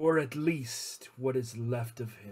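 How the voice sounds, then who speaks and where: Here a man puts on a character voice. He speaks at a fairly slow pace. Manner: calm, formal, proposing a deal.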